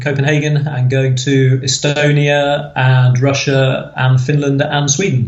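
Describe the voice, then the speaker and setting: Somewhat breathy, this voice with an English accent keeps a monotone, flat intonation in audible room echo. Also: man. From England, Nottinghamshire. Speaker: podcast guest, cruise fan. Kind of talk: casual interview chat.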